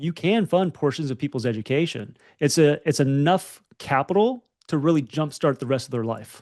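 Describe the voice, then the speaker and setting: This man speaks with an American accent at a moderate pace. His pitch is fairly high, his intonation is lively, and the background is quiet. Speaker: podcast co-host. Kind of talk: casual chat.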